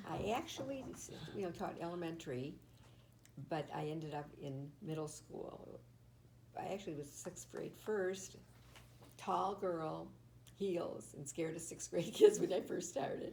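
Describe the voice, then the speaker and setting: A woman speaks at a fairly slow pace with long, frequent pauses. Audible room echo surrounds her voice. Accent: American. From Michigan, Detroit. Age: 80s+. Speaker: retired teacher. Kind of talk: oral history interview. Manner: halting.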